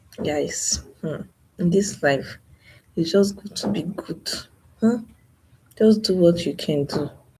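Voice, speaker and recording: A soft-spoken woman talks at a very slow pace with long, frequent pauses. Her fairly low, somewhat breathy voice has a dark, mellow tone and ordinary pitch variation. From Nigeria. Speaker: YouTuber. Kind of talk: live stream monologue.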